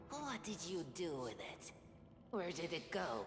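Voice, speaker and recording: A put-on character voice at a middle pitch moves along at a fairly slow pace. There is clear background noise and a slight echo. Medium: game stream. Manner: suspicious, blunt.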